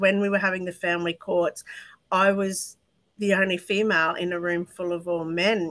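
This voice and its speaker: A woman with an Australian accent, medium pitch, a bright, sharp tone and monotone, flat intonation at a moderate pace. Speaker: mental health advocate. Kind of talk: interview testimony. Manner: talkative, tangential.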